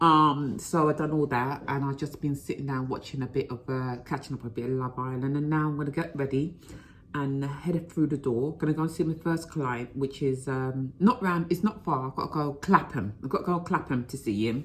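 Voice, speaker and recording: Fairly quick speech with ordinary pitch variation, in a very clean recording over a silent background. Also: woman, very deep, low pitch for a woman, hardly any pauses. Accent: London. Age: 50s. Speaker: vlogger. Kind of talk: casual vlog.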